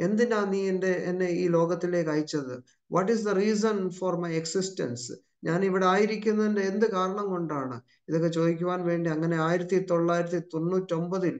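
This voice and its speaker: Against a quiet background, a man speaks in a high pitch. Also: ordinary pitch variation. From Chhattisgarh, India (Kerala-born); Chhattisgarh, India. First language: Hindi (speaking Malayalam). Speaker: pastor. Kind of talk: testimony; sermon. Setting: video call. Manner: frequent interjections like amen and praise. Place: home room. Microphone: video call.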